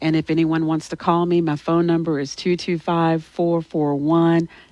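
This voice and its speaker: Over a quiet background, a woman with a Louisiana accent speaks at a fairly low pitch with monotone, flat intonation. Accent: Louisiana Southern US. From Louisiana, Alexandria. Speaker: political candidate. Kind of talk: interview.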